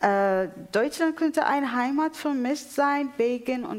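A woman with an Arabic accent speaks with lively intonation. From Syria, Damascus. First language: Arabic (speaking German). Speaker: poet. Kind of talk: panel discussion on stage. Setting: theatre stage with audience. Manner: halting.

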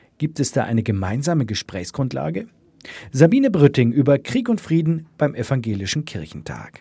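Vocal fry runs through a dark, mellow tone with very wide pitch swings. The pace is moderate, on a very clean recording with a silent background. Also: man, medium pitch for a man. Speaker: radio presenter. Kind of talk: radio feature narration. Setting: studio.

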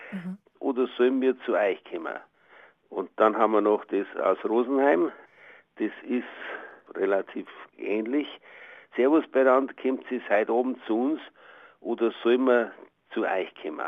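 Pausing long and often, a man speaks at a fairly slow pace and medium pitch with ordinary pitch variation. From Bavaria. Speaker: dialect researcher, professor. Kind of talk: interview.

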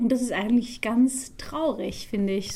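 A woman's fairly high, somewhat breathy voice with a Dutch accent, a dark, mellow tone and fairly even intonation. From Netherlands. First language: Dutch (speaking German). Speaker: musical theatre actress. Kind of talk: interview.

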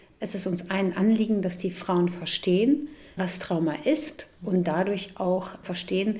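A woman's fairly low-pitched voice at a moderate pace, with ordinary pitch variation and noticeable background noise. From Bosnia. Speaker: psychologist. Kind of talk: explanatory interview.

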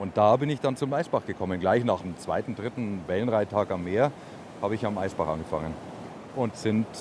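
With an ordinary speaking voice, a man of fairly low pitch talks at a moderate pace with lively intonation. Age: 50s. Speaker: surf camp owner. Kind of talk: interview.

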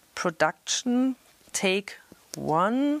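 A woman speaks with very wide pitch swings. The sound is dry and close, with no echo. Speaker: radio presenter. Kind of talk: tutorial. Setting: film school cinema. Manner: casual, lively.

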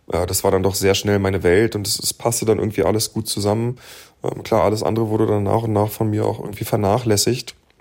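The speech runs at a very fast pace with monotone, flat intonation. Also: man, fairly low pitch for a man. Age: 30s. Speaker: recovering addict, podcaster. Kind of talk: interview.

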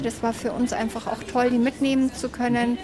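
Noticeable noise is audible in the background. The talking goes at a fairly quick pace. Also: woman. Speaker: hiking group organizer. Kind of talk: casual chat. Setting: outdoors.

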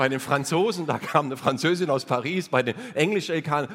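An unremarkable speaking voice, a man's, runs at a moderate pace with a fairly high pitch and ordinary pitch variation. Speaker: cabaret artist. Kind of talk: stand-up. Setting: stage with audience.

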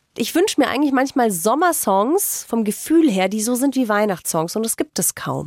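A woman at a moderate pace with very wide pitch swings, in a dry, close sound with no echo and a very clean recording with a silent background. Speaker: radio host. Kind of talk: casual chat.

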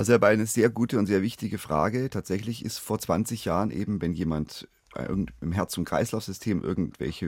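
Fairly quick speech with vocal fry comes through dry and close with no echo. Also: man. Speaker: family doctor. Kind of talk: radio phone-in expert answers. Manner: formal, explanatory.

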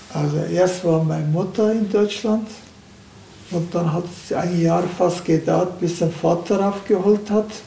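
With a Turkish accent, a man speaks fairly slowly in a high voice with fairly even intonation. Noticeable background noise and audible room echo fill the recording. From Turkey. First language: Turkish (speaking German). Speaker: retired car factory welder. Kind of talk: casual interview.

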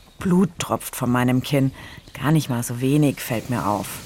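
Words come at a very slow pace with ordinary pitch variation, and noticeable background noise sits behind them. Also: woman. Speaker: podcast co-host, recovering accident survivor. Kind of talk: audio diary recordings.

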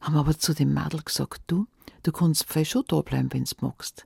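A woman's very deep, low voice carries a dark, mellow, warm tone on a very clean recording with a silent background. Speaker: fairy tale narrator. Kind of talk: fairy tale telling, folksy storytelling in dialect, addressing listeners directly. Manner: warm, cozy, lively storyteller voice with dialect colour; conversational, unhurried with expressive character voices.

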